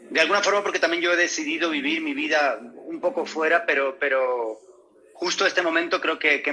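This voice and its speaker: A man speaks at a moderate pace. He has a slight Canarian accent. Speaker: actor. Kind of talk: interview. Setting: video call. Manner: halting, many repetitions.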